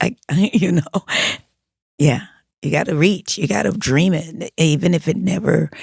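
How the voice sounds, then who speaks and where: Somewhat breathy and fairly low in pitch, a woman speaks at a moderate pace with ordinary pitch variation and long, frequent pauses, in a dry, close sound with no echo. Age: 60s. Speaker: music producer and theater writer. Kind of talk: podcast interview.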